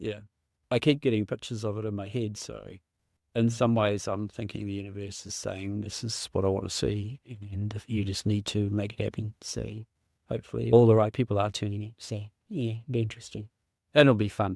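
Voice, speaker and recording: A man talks fairly quickly in an ordinary speaking voice with a fairly low pitch. The recording is very clean, with a silent background. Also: fairly even intonation. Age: 60s. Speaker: mental health survivor sharing lived experience. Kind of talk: casual chat. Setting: podcast interview.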